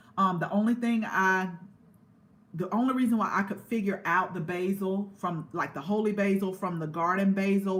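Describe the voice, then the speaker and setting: A somewhat breathy woman's voice at medium pitch, with an American accent. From US South, Georgia (Columbus). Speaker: gardening youtuber. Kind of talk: casual livestream chat. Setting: indoors, live stream. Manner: conversational, halting with fillers.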